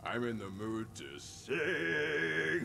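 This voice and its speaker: A man puts on a character voice, and background noise comes through clearly. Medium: video game. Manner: theatrical.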